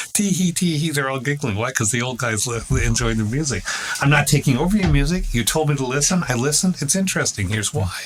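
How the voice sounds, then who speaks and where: Against noticeable background noise, a man talks at a very fast pace in a fairly high pitch. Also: lively intonation. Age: 60s. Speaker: professor of English and philosophy. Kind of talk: casual chat. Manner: halting, many repeated words.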